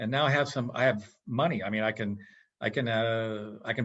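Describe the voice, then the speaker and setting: An ordinary speaking voice at moderate pace with ordinary pitch variation. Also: man. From western Massachusetts. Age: 60s. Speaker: physicist and business consultant. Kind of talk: casual interview chat.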